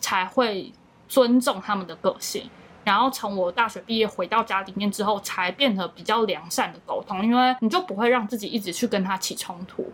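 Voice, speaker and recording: Pitched fairly high, this woman has an ordinary speaking voice with ordinary pitch variation. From Matsu, Taiwan. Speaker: YouTuber and content creator. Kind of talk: casual interview.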